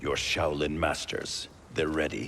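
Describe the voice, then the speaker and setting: Slow-paced and very deep, a man's put-on character voice sits over clear background noise, his pitch very low and his pace fairly slow. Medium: video game. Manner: grave, suspicious.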